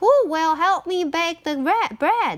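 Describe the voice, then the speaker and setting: In a put-on character voice, a woman talks at a fairly slow pace, sounding squeaky with an extremely high pitch. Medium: read story.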